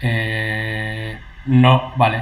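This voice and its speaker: There is audible room echo around a man speaking with a Spanish accent. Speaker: e-commerce YouTuber and interviewer. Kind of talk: live-streamed interview with translation. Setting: live stream video call. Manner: hesitant, halting English. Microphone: double sound echo on stream.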